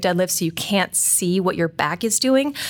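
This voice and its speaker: Her voice sits at a medium pitch, and this woman's pitch moves in an ordinary way. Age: 30s. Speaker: fitness coach and editor, show co-host. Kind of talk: casual chat. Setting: studio. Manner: fast; animated.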